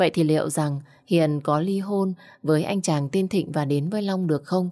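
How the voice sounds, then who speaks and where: A moderate pace over a quiet background. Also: woman. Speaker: audiobook narrator. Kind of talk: audiobook story narration. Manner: expressive. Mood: warm, deep, expressive. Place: home room. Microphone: studio mic.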